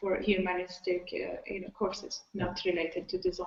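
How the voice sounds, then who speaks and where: The speaker has a Persian accent. The intonation is monotone and flat. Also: woman. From Iran. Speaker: designer. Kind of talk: panel discussion. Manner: halting, many fillers.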